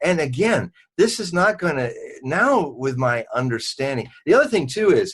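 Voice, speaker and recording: Against a quiet background, a man with a fairly high pitch for a man speaks at a moderate pace, his pitch swinging very widely. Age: 60s. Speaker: Nostradamus expert and forecaster. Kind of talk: interview.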